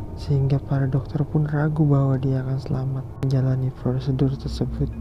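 Over music in the background, the speech moves at a fairly quick pace. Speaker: podcast host. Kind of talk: ghost story telling, creepypasta narration read in a hushed, eerie storyteller voice.

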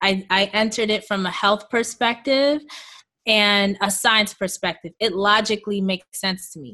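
Set against a quiet background, a woman with a New York accent speaks at a medium pitch and a fairly slow pace in a bright, sharp tone, with ordinary pitch variation. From Queens, New York, to Jamaican parents. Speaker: holistic health coach and raw food advocate. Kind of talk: interview.

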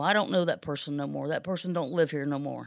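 On a very clean recording with a silent background, a woman speaks with vocal fry in an American accent. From US Midwest, Ohio. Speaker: forklift driver sharing testimony. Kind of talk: testimony. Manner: halting.

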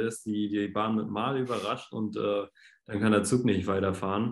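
This man has an unremarkable speaking voice, fairly low in pitch, with fairly even intonation at a moderate pace. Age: 20s. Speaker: podcast guest. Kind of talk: casual chat.

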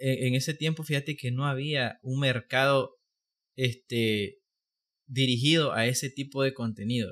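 A man speaks in a plain, everyday voice at medium pitch and a fairly slow pace, his intonation fairly even, on a very clean recording with a silent background. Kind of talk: casual chat.

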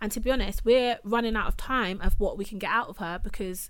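In a London accent, a woman speaks at a moderate pace. Her pitch is fairly high, with ordinary variation. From England, Caribbean heritage. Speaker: podcast host. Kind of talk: casual chat.

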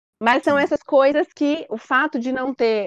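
A woman with a high-pitched voice is heard in a dry, close sound with no echo. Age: 30s. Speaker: patient sharing her fertility treatment story. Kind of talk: interview testimony.

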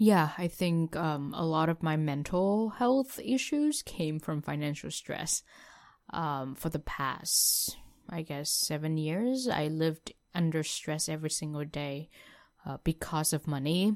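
A woman talks at a fairly slow pace in a very deep, low pitch with ordinary pitch variation. The recording is very clean, with a silent background. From Vietnam. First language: Vietnamese. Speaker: former international student. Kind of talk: interview.

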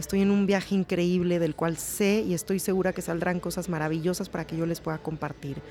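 In a plain, everyday voice, a woman with a fairly low pitch speaks with fairly even intonation and hardly any pauses. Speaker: podcast host. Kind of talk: podcast introduction; interview. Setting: hotel restaurant.

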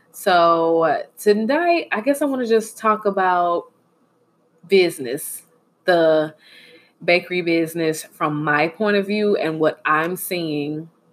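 Speaking at a very slow pace, a woman uses a fairly low pitch with ordinary pitch variation. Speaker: podcast host and dessert reviewer. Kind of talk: casual chat.

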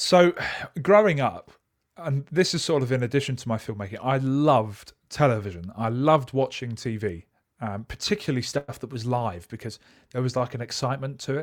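A man with an English accent speaks at a fairly quick pace in a medium pitch, his intonation lively, on a very clean recording with a silent background. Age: 20s. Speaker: camera journalist. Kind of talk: interview.

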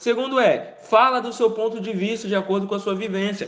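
A man's voice against noticeable background noise. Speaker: marketing podcast host. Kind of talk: solo tips monologue. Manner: halting, repeats words.

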